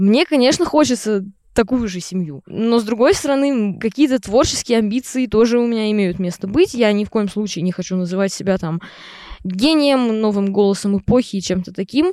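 A woman with a plain, everyday voice speaks at a moderate pace, her pitch fairly high and her intonation lively. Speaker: composer and singer-songwriter, conservatory student. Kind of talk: casual interview chat. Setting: in a tent at a campsite.

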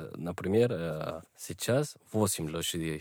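A man with lively intonation. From Colombia, Bogotá. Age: 20s. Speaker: student. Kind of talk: casual chat. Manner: halting.

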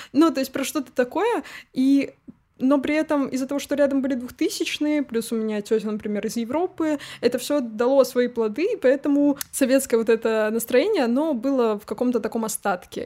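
Her pitch high and her tone dark and mellow, a woman talks at a fairly quick pace with ordinary pitch variation. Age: 20s. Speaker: podcast co-host. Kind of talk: casual chat.

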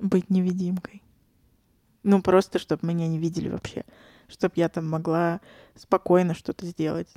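A woman with a fairly low pitch and a dark, mellow tone speaks in a monotone, flat way with long, frequent pauses, the sound dry and close with no echo. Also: moderate pace. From Saint Petersburg, Russia. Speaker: former English teacher. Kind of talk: casual chat.

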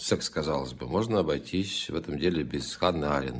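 With lively intonation and some vocal fry, a man talks at a moderate pace. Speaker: podcast host and literary commentator. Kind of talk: reading and commenting on poems.

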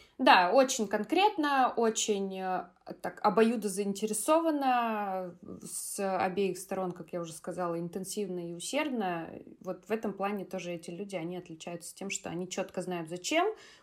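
Her loudness swings widely while she keeps a moderate pace. The woman has a normal speaking voice at a medium pitch with ordinary pitch variation. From Russia, Kaliningrad. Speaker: podcast co-host, English teacher. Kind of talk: casual chat.

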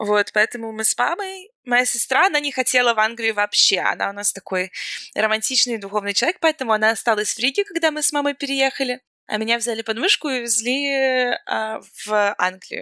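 In a dry, close recording with no echo, a woman talks at a fairly quick pace with a bright, sharp tone, lively intonation and a fairly high pitch. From Latvia (Riga). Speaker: emigrant guest. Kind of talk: casual chat.

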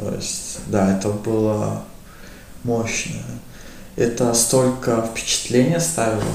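A man at a medium pitch, very slow pace and ordinary pitch variation, with audible room echo and noticeable background noise. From Latvia, Riga. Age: 20s. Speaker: youth sports organizer. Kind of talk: casual interview.

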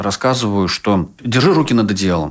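A man with an ordinary speaking voice talks at a moderate pace, pitched fairly low with ordinary pitch variation. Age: 30s. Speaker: sexologist and psychotherapist. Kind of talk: casual chat.

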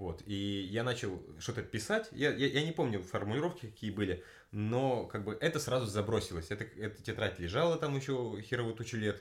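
A somewhat breathy voice at a moderate pace. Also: man, medium pitch for a man, lively intonation. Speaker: podcast host. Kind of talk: casual chat. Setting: home room recording with friend.

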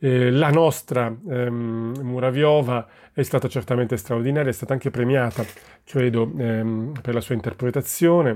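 In a very clean recording with a silent background, a man with a dark, mellow tone speaks at a fairly slow pace, medium in pitch with ordinary pitch variation. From Italy, Naples. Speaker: theatre director. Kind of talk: interview. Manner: halting, many fillers.

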